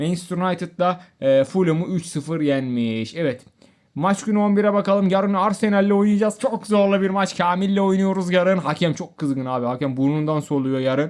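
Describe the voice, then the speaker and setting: Lively intonation marks this man's speech at a moderate pace. The recording is very clean, the background silent. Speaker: gaming youtuber. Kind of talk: gameplay commentary. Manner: animated.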